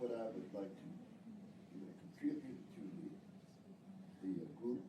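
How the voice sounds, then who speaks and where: The recording features a man's voice. Room echo is audible around it. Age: 70s. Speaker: workshop participant. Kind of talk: group discussion. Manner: halting.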